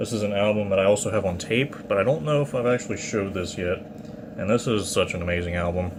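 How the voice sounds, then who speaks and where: Amid noticeable background noise, a man with a fairly low pitch talks at a very fast pace. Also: ordinary pitch variation. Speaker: metal vinyl collector YouTuber. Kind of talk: casual show-and-tell video. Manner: hesitant with fillers.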